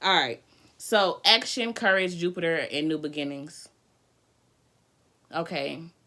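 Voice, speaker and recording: A fairly slow, animated delivery with a bright, sharp tone, ordinary pitch variation, long and frequent pauses, and a very clean recording with a silent background. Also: woman, fairly low pitch for a woman. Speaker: tarot reader. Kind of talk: live tarot reading. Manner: loud.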